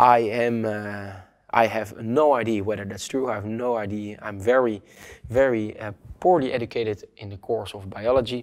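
A man with a non-native accent speaks at a medium pitch and moderate pace. His intonation is fairly even, and the background is quiet. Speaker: online course instructor. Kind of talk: lecture. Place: studio. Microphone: lapel.

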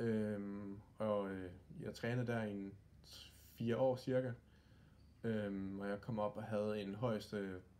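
A very slow, fairly low-pitched male voice with a dark, mellow tone and fairly even intonation. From Denmark, Aarhus; Denmark. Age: 20s. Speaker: youth badminton coach and former pro player; youth badminton coach. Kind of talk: interview. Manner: halting, many fillers; calm. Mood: calm, friendly. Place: home room. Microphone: phone near.

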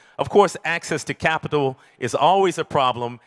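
A man with an American accent over a quiet background. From US Midwest, Detroit; Michigan. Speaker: community food activist; conference speaker. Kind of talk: conference talk. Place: hall. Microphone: handheld.

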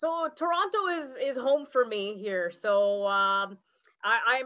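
Against a quiet background, a woman speaks with a high pitch and lively intonation. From Canada. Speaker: call participant, scientist. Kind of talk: casual chat. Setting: video call. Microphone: video call.

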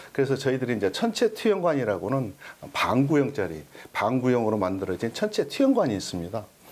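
This man talks fairly quickly with vocal fry, his pitch swinging very widely up and down. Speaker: observatory director. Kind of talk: casual interview chat. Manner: polite, formal. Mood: friendly, enthusiastic. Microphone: lapel.

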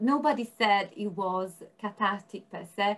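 Speaking at a fairly slow pace, a woman lets her pitch swing very widely. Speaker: researcher. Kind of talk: panel discussion. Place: home room. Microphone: video call.

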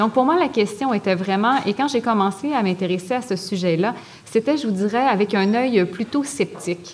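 With noticeable background noise behind her, a woman talks at a moderate pace in a fairly high pitch with ordinary pitch variation. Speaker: psychology professor and addiction researcher. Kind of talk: lecture. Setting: stage with audience.

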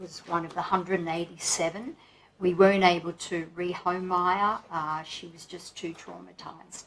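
A woman speaks at a fairly low pitch with a fairly bright tone.

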